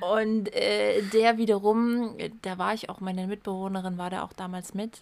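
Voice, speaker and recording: Her medium-pitched voice moving at a fairly slow pace, a woman speaks with fairly even intonation. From Saxony, Erzgebirge. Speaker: podcast co-host. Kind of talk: casual chat.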